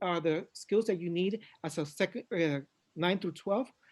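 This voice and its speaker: A man with a Spanish accent talks at a moderate pace in a high voice against a quiet background. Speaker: education consultant. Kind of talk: conference presentation. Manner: halting.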